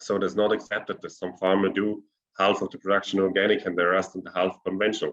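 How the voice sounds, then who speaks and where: With a German accent, a man speaks very fast in a fairly low pitch, his intonation monotone and flat while his loudness swings widely. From South Tyrol, northern Italy. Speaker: organic fruit cooperative representative. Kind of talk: webinar panel answer. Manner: halting.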